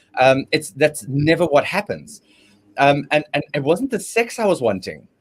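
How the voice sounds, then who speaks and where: This man speaks at a moderate pace with a fairly high pitch and vocal fry. His intonation is lively. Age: 50s. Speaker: relationship panelist. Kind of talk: panel discussion. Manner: halting, many fillers and repetitions.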